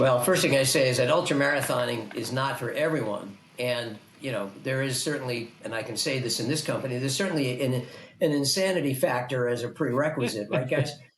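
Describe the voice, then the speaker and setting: A man at medium pitch, fairly quick pace and ordinary pitch variation, with audible room echo and noticeable background noise. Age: 80s+. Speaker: ultrarunner and race director. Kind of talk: interview. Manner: halting.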